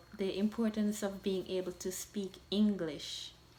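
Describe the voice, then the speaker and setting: A woman speaks with a Jamaican accent. Her pace is very slow. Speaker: vlogger. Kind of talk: talk to camera.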